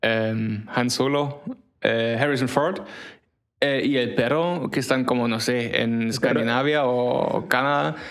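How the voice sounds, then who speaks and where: Speaking at a very slow pace, a man uses ordinary pitch variation, with audible room echo around him. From Germany. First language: German (speaking Spanish). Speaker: podcast co-host. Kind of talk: casual chat.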